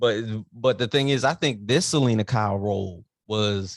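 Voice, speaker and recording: Lively intonation marks a man's medium-pitched voice at a moderate pace. The recording is very clean, with a silent background. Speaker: pop culture podcaster. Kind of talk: casual movie review chat. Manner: halting, stumbling over words.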